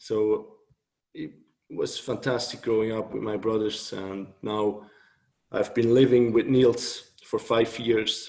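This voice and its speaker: Speaking very slowly, a man uses a medium pitch and monotone, flat intonation. He has a Swiss German accent. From Switzerland, Thun near Bern. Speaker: author and blogger. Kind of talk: interview.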